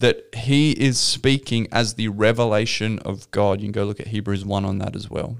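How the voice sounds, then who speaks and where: A man with an Australian accent, hardly any pauses and fairly even intonation. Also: fairly low pitch for a man, moderate pace. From South Australia. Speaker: pastor. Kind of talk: podcast interview.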